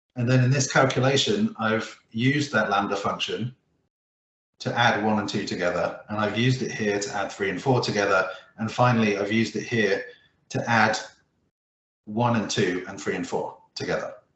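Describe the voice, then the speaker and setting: A man's medium-pitched voice with fairly even intonation at a moderate pace, with audible room echo. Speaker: Excel presenter. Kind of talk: tutorial. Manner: hesitant, many fillers and restarts.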